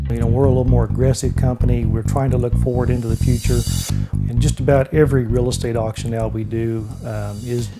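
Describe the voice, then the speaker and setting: Clear music in the background under a man talking at a fairly quick pace. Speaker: auctioneer at a real estate and auction company. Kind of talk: interview answer. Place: office.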